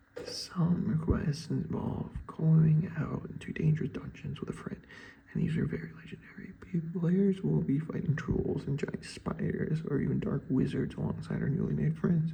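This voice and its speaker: A man whispering at a moderate pace. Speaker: student reading an assignment while gaming. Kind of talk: reading aloud a written essay with asides. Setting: at home at 4 am.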